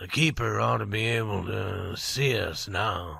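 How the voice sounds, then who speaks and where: A raspy, put-on character voice from a man, fairly low in pitch, at a fairly slow pace. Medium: read story. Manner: low, calm.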